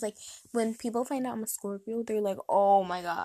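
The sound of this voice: Her tone is dark and mellow as the woman speaks at a medium pitch.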